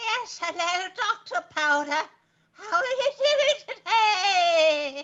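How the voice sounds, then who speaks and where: A put-on character voice comes out squeaky, with very wide pitch swings. The pace is very slow. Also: woman, extremely high pitch for a woman. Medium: comedy sketch. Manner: prim and tart, old-fashioned phrasing.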